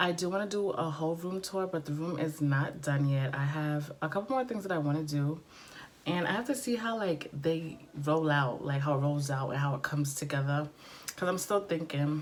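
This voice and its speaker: Noticeable background noise sits behind a woman with a very deep, low pitch. Her pace is moderate and her pitch variation ordinary. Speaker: beauty vlogger. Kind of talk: casual vlog talk. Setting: bedroom filming nook. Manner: chatty with many fillers.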